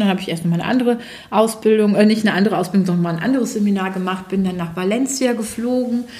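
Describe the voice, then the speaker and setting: The voice shows ordinary pitch variation, with audible room echo in the recording. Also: woman. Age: 40s. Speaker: naturopath and ThetaHealing teacher. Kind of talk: interview.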